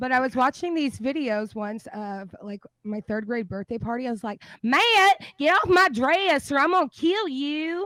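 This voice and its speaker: A high-pitched woman with an American accent, very wide pitch swings and big swings in loudness. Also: moderate pace, dry, close sound with no echo. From Texas. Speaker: streamer. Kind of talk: casual chat. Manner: halting.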